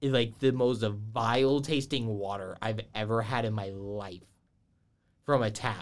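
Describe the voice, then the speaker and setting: A man with a normal speaking voice talks fairly slowly, his pitch fairly low and his intonation fairly even. The recording is very clean, with a silent background. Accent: American. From Georgia, US South. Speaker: college esports podcast host. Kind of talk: casual chat.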